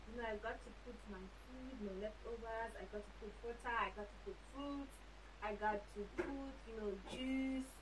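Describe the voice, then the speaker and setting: Fairly slow speech from a woman, with noticeable background noise. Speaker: traveler vlogger. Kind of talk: casual vlog chat. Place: home room.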